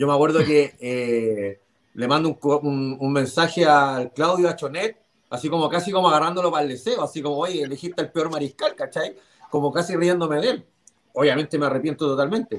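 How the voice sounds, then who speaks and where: With a Chilean accent, a man talks at a fairly quick pace. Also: fairly high pitch for a man, ordinary pitch variation. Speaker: NFL fan panelist. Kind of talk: casual chat.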